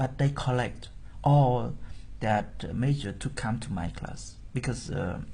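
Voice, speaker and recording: Amid audible room echo, a man with a Cambodian accent speaks at a very slow pace and medium pitch, somewhat breathy and dark, mellow in tone, with ordinary pitch variation. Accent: Cambodian (Khmer) English. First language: Khmer. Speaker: Buddhist monk and teacher. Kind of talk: interview.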